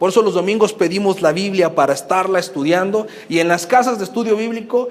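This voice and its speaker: Amid noticeable background noise, a man with a high pitch speaks at a very fast pace with ordinary pitch variation. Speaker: pastor. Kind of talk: teaching talk to new members.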